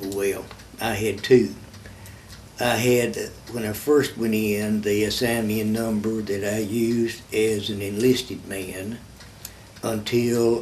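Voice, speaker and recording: A man with a Kentucky accent talks very slowly in a fairly low, flat monotone, leaving long and frequent pauses. Noticeable background noise and audible room echo fill the recording. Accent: southern US (Kentucky). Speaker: war veteran. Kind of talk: interview testimony. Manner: halting, many fillers and repeats.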